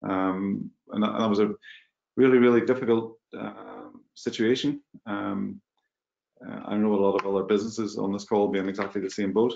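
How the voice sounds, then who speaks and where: Intonation stays fairly even as a man talks at a fairly quick pace. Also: fairly low pitch for a man. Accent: Mid Ulster. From Northern Ireland, Magherafelt, County Londonderry. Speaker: business executive. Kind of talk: webinar panel discussion.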